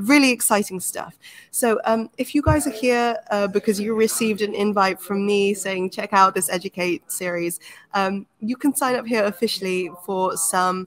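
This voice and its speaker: A woman with a London accent, medium pitch, ordinary pitch variation and moderate pace. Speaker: program manager hosting a workshop. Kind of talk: webinar introduction.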